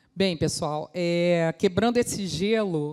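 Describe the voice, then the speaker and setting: A woman's dark, mellow voice, pitched fairly low. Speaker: food safety quality manager. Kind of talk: conference talk.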